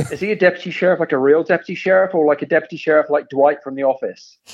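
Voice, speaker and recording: A man talks at a very fast pace. His voice sits at a fairly high pitch. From England. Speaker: podcast guest, fellow podcaster. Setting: phone call with headset microphone.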